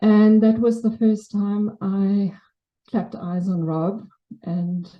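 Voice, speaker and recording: With a South African accent, a woman talks in a somewhat breathy voice with fairly even intonation. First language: Afrikaans. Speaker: memorial speaker. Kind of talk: eulogy. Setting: memorial service with audience. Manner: wobbling voice.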